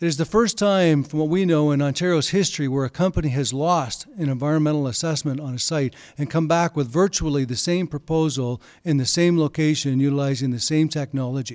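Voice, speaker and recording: With a Canadian accent, a man speaks at a fairly quick pace and a fairly high pitch with ordinary pitch variation and hardly any pauses, on a very clean recording with a silent background. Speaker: community activist. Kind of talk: public presentation. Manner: halting, many fillers.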